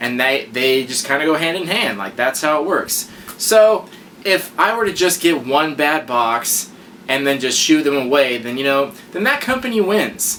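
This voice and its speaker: Mumbling at a moderate pace, a man uses a fairly high pitch and lively intonation. Noticeable background noise runs under his voice. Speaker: YouTube unboxing reviewer. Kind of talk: casual vlog review. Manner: stutter.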